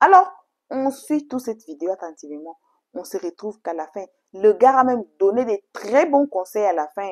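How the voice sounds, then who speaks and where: Delivered with an English accent at a moderate pace, the speech has very wide pitch swings and big swings in loudness. The sound is dry and close with no echo. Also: woman, fairly high pitch for a woman. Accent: English-speaking accent in French, stumbles. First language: English (speaking French). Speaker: YouTube storytelling channel host. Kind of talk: casual video intro to viewers. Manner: halting, effortful French.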